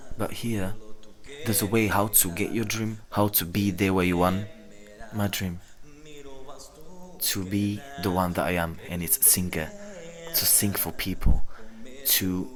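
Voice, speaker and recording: Music plays behind a man with a fairly low voice. He leaves long, frequent pauses. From rural Slovakia. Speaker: singer. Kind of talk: interview testimony.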